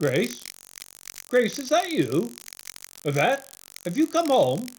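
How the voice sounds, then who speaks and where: This is a put-on character voice with very wide pitch swings. The delivery comes at a fairly slow pace. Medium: stage play. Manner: earnest, gentle.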